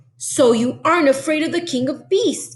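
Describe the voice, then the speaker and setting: A woman's high-pitched, growling, put-on character voice at a moderate pace. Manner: menacing, bluffing.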